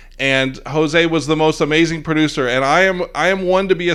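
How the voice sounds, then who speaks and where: A man speaks in an animated tone. His pitch is fairly high. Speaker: livestream host. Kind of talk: casual chat. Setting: online livestream.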